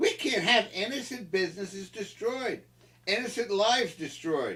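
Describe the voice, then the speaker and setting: With an American accent, a man with a high voice speaks in a raised, projected way and an animated tone. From Philadelphia area, US. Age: 70s. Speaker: political commentator. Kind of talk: interview. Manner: animated, impassioned; halting, repeated words.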